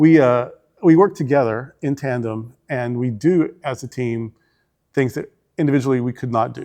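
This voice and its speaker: A man's medium-pitched voice with a Southern US accent, dark and mellow in tone, with ordinary pitch variation against a quiet background. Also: moderate pace. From Arkansas, US South. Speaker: senior minister. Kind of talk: interview.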